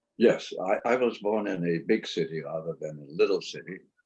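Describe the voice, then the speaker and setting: This man's pace is moderate. He has a German accent. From Germany, Cologne. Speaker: Holocaust survivor. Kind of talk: oral history interview.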